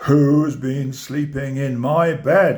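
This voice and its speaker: A man bellows in a put-on character voice. His pitch is fairly high. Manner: roaring.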